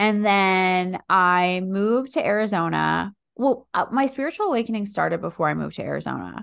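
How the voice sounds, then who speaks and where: A woman speaks at a fairly quick pace with an American accent, hardly pausing at all. The background is quiet. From US Northeast, Philadelphia area. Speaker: breathwork practitioner and former lawyer. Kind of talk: casual chat.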